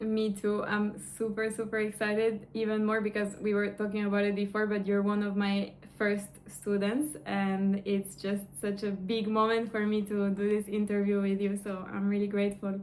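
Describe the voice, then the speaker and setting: With a non-native accent, a woman of medium pitch speaks at a moderate pace with hardly any pauses, her intonation monotone and flat and her loudness very even. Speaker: online course coach. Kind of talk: interview.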